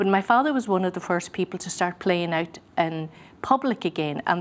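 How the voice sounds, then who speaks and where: Speaking with a Donegal accent, this woman has a fairly low pitch and ordinary pitch variation. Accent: Donegal Irish. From Ireland, Gweedore, County Donegal. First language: Irish Gaelic. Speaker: musician and singer. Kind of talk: interview. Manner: hesitant, many fillers.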